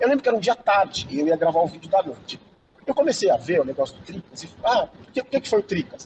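A man talking very fast at a high pitch, animated, with very wide pitch swings, big swings in loudness, and a dry, close sound with no echo. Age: 50s. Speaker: sports journalist and YouTuber. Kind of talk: casual chat. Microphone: unstable connection.

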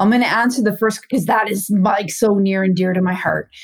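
A woman speaks with a Canadian accent at a medium pitch, in a normal speaking voice. Her pitch varies in an ordinary way. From Saskatchewan, Canada. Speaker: former police officer turned private investigator and speaker. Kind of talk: casual interview chat. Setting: video call.

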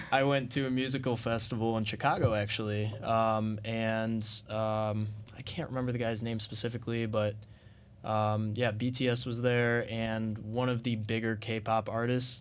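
Room echo is audible as a man of medium pitch speaks at a moderate pace in a monotone, flat intonation. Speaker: student podcast host. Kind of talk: interview.

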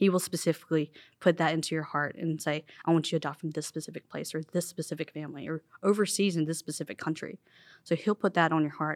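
A woman with an American accent talks at a very fast pace, her pitch very deep and low and her intonation fairly even. The recording is very clean with a silent background and a dry, close sound with no echo. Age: 20s. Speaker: adoptee sharing her story. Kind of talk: testimony.

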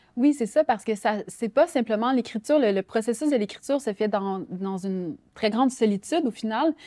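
In a very clean recording with a silent background and a dry, close sound free of echo, a woman with a fairly high pitch and a dark, mellow tone talks at a moderate pace with lively intonation. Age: 30s. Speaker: writer. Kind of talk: interview.

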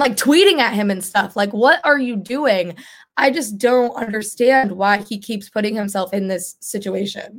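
Animated in tone, the voice moves at a moderate pace with ordinary pitch variation. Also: woman. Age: young. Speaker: political podcast co-host. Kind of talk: casual chat.

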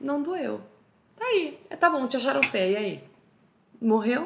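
An animated woman with a high pitch, very wide pitch swings and a moderate pace, against noticeable background noise. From Brazil, Roraima (Boa Vista). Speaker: social media humorist. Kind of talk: casual chat.

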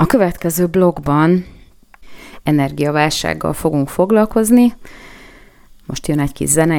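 A woman speaks with a very deep, low voice. Her pace is moderate, broken by long, frequent pauses. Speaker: radio news-analysis host. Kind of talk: solo radio commentary. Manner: hesitant with fillers.

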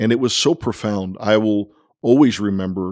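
A man with an unremarkable speaking voice talks at a fairly slow pace and fairly low pitch. His intonation is fairly even, and the recording is very clean with a silent background. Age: 50s. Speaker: pastor. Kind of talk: casual chat. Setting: in person, visiting Copenhagen.

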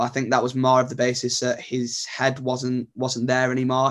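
Moving at a fairly quick pace, a man with medium pitch uses an ordinary speaking voice. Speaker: football journalist guest. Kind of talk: casual sports chat.

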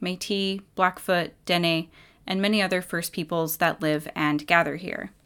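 On a very clean recording with a silent background, a woman with a plain, everyday voice speaks at a moderate pace and medium pitch. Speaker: radio host. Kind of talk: radio host patter, intros, station ID and sign-off. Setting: campus radio studio. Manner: warm, friendly, clear.

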